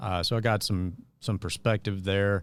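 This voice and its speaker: A man with a slight Mississippi accent, fairly low in pitch, with ordinary pitch variation. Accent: Southern US, slight Mississippi touch. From US South, northeast Arkansas (Jonesboro). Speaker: podcast host, former political worker. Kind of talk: casual talk show monologue. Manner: hesitant, many fillers.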